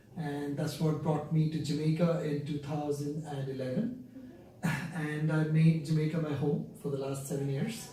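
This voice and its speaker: Someone with an Indian accent speaks at a moderate pace with fairly even intonation, amid noticeable background noise and audible room echo. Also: man. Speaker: company founder and CEO. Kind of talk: interview.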